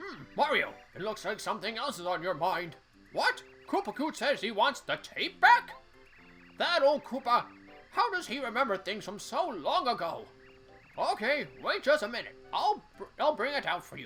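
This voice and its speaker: A man's put-on character voice at an extremely high pitch, moderate pace, with clear music behind it. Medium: game stream. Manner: folksy, calls hero young fella.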